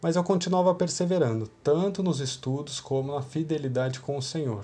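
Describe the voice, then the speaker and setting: A man with an unremarkable speaking voice and fairly high pitch. He talks at a moderate pace with ordinary pitch variation. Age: 30s. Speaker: youth church leader. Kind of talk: devotional talk.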